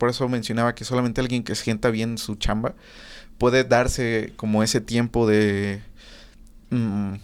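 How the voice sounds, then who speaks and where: A man speaks with a monotone, flat intonation. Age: 20s. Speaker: audio engineer. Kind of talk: casual chat. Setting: studio.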